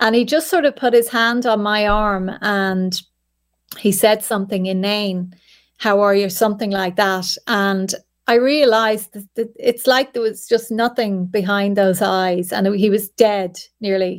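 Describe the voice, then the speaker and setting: A woman with an Irish accent at medium pitch, a fairly slow pace and fairly even intonation, on a very clean recording with a silent background. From Ireland. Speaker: journalist. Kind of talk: interview.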